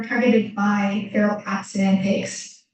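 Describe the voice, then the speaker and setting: A woman speaks in a somewhat breathy voice. Her pace is very slow. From Japan. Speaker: graduate student. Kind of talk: presentation Q&A. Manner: halting.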